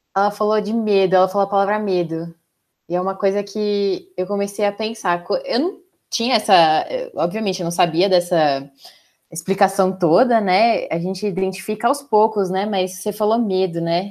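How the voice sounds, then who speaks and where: On a very clean recording with a silent background, a woman speaks at a moderate pace and medium pitch. Her intonation is fairly even, and she has a plain, everyday voice. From São Paulo, Brazil. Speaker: HR director, podcast host. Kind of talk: casual chat.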